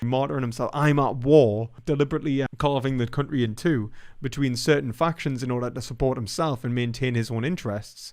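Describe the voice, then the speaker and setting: A man with a British accent talks at a fairly quick pace, his medium pitch moving with ordinary variation. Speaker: philosophy YouTuber. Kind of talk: live stream commentary. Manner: fast; casual, halting with fillers.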